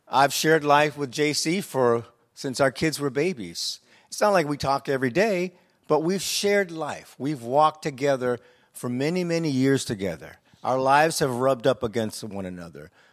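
A man with an American accent and fairly high pitch, a normal speaking voice, lively intonation at a moderate pace, on a very clean recording with a silent background. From US inner city. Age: 60s. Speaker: church leader. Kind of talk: panel discussion. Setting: stage with audience.

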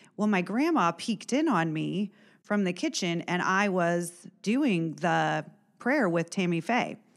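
A normal speaking voice from a woman at a medium pitch with an American accent, lively intonation, very even loudness and a fairly slow pace, in a very clean recording with a silent background. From Indiana, Warren County. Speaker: former schoolteacher. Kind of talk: personal testimony.

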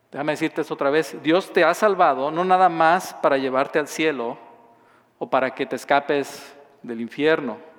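This man has a Mexican accent. He talks at a moderate pace with ordinary pitch variation. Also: fairly high pitch for a man. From southern Mexico. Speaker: pastor. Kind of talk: sermon.

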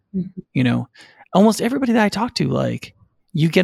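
Speaking at a very fast pace, a man comes through with a dry, close sound and no echo. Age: 40s. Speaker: lead pastor. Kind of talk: casual discussion.

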